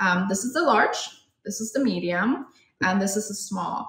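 A woman speaks with ordinary pitch variation, with audible room echo and a quiet background. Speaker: guest. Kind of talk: tutorial. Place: home room. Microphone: phone near.

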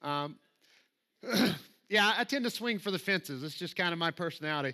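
With a Southern US accent, a man talks at a fairly quick pace and high pitch, his tone bright, sharp and animated, his intonation lively, over a quiet background. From US South. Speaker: preacher. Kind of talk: sermon. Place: church.

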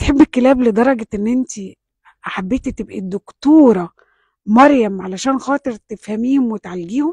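With an Egyptian accent, a woman talks at a moderate pace in a fairly high pitch with ordinary pitch variation and a dark, mellow tone. The sound is dry with no echo and the background quiet. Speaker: TV talk show host. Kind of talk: interview. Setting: studio with audience. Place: studio.

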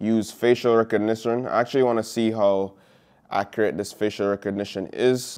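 A man at a moderate pace with fairly even intonation, music in the background. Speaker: tech vlogger. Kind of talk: casual vlog chat. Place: home room. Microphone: lapel.

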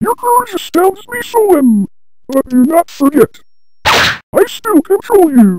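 Slowly and with big pitch swings, a woman performs a cartoonish character voice at an extremely high pitch, her tone slightly mellow.

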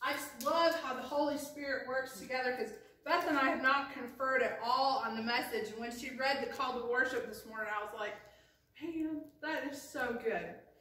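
With a raised, projected voice, a woman talks at a fairly quick pace with ordinary pitch variation and audible room echo. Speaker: pastor. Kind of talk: sermon. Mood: warm and excited. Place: church. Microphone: camera far.

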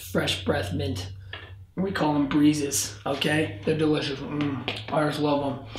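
In a put-on character voice, a man speaks raspily at a fairly slow pace and fairly high pitch, with a slight echo and clear background noise. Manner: acting, over-the-top commercial style.

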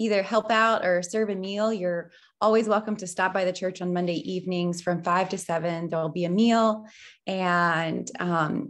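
A woman at a moderate pace, with fairly even intonation and a quiet background. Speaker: pastor. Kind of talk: church announcements, casual welcome. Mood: warm, lightly amused. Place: home room. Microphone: webcam.

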